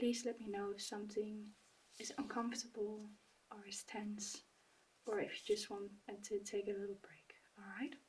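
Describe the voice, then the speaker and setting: A calm, soft-spoken delivery with long, frequent pauses. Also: moderate pace. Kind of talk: ASMR medical roleplay, soft-spoken. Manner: soft-spoken, calm, reassuring.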